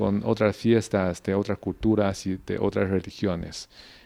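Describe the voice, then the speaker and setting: With a Mandarin Chinese accent, a man speaks at a fairly low pitch and keeps his intonation fairly even. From China, Beijing. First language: Mandarin Chinese (speaking Spanish). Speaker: diplomat. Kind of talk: interview. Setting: ambassador's residence. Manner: halting, many fillers.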